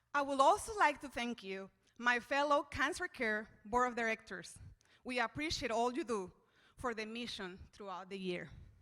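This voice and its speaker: With a bright, sharp tone and a high pitch, a woman speaks with lively intonation and big swings in loudness. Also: moderate pace. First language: Spanish. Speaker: charity board member. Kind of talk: event speech.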